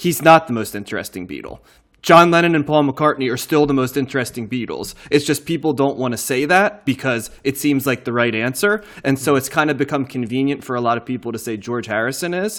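Here is a plain, everyday voice from a man with an American accent and a medium pitch. He moves at a fairly quick pace with ordinary pitch variation. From New Jersey. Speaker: podcast host. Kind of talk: casual chat.

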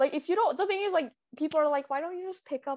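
A woman speaks in a dry, close sound with no echo. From Canada. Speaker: podcast co-host, university student. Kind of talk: casual chat. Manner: animated.

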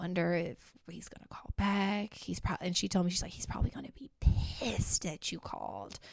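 A woman speaks at a moderate pace in an animated tone with hardly any pauses. Her loudness swings widely. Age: 30s. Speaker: podcast co-host. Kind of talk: casual chat.

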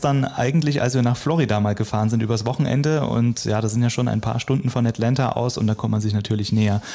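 With noticeable background noise, a man at a medium pitch talks at a very fast pace with hardly any pauses, very even loudness and ordinary pitch variation. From eastern Germany. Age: 30s. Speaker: radio worker. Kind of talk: interview.

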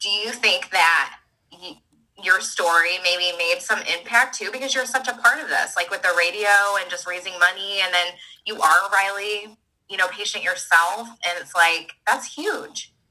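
A woman with a plain, everyday voice speaks at a moderate pace and a medium pitch. Her loudness swings widely while her pitch varies in an ordinary way. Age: 30s. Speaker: podcast co-host. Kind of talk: casual chat.

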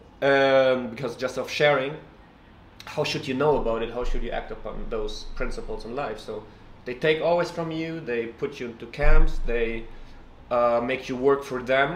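Audible room echo surrounds the voice of a man. He talks at a moderate pace. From Russia. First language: Russian. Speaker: writer. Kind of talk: casual chat.

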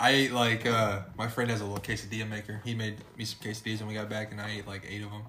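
With an American accent, the speaker rushes at a very fast pace with hardly any pauses and a monotone, flat intonation, amid noticeable background noise and audible room echo. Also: man, fairly low pitch for a man. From US Midwest, central Illinois. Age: 20s. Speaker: podcast co-host. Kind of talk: casual chat.

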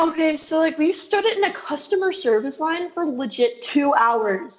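A woman with an American accent speaks at a fairly slow pace in a high voice, her pitch swinging very widely and hardly any pauses breaking the flow, over noticeable background noise. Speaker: podcast host. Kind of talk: casual chat. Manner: animated, filler-heavy.

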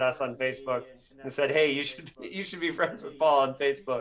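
A man with an American accent, fairly high-pitched with fairly even intonation, against noticeable background noise. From Bloomington, Indiana, US Midwest. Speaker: podcast host and novelist. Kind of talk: interview.

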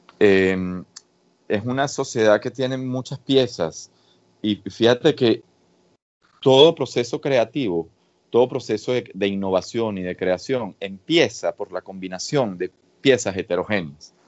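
With ordinary pitch variation and a fairly slow pace, this is an unremarkable speaking voice. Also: man, medium pitch for a man. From Venezuela. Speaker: researcher. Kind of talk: interview.

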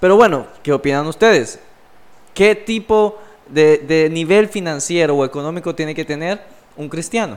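An unremarkable speaking voice talks at a moderate pace. Its pitch varies in an ordinary way. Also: man, fairly high pitch for a man. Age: 20s. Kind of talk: casual religious discussion.

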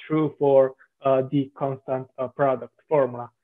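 With an Italian accent, a man speaks very slowly in a fairly high-pitched voice. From southern Italy. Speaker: software developer. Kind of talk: interview. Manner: halting.

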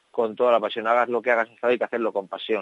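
The voice belongs to a man. It stays at a medium pitch. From Spain, Madrid and León. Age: 30s. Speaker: professional footballer and entrepreneur. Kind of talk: interview.

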